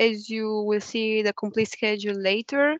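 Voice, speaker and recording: Speaking with a Romanian accent, a woman has a fairly high pitch. She keeps a moderate pace, and the sound is dry and close with no echo. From Romania, Bucharest. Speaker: university student. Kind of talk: webinar talk. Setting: online webinar.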